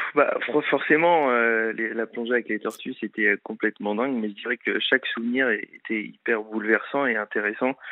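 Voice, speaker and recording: With hardly any pauses, a man talks at a moderate pace in a medium pitch and fairly even intonation, an unremarkable speaking voice. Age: 20s. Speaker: TV adventure show presenter. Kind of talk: casual chat.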